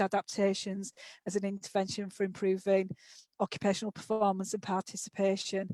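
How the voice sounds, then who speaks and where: With a Yorkshire accent, a woman of medium pitch talks at a moderate pace in a dry, close sound with no echo. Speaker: occupational therapist and author. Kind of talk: webinar presentation. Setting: online webinar.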